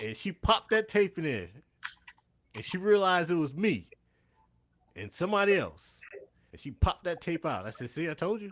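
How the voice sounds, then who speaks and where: Speaking with a New York accent, a man has a high pitch and a fairly quick pace. His loudness swings widely, and he leaves long, frequent pauses. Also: lively intonation. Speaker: stream guest. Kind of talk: casual chat. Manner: forceful.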